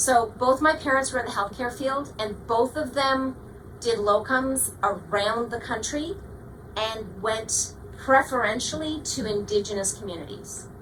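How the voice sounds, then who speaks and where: Speaking with a Canadian accent, a woman has a fairly high pitch, an animated tone and ordinary pitch variation at a fairly slow pace. Noticeable background noise and audible room echo fill the recording. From Canada, Toronto. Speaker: astronomy professor and planetarium director. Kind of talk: public lecture. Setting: planetarium with audience.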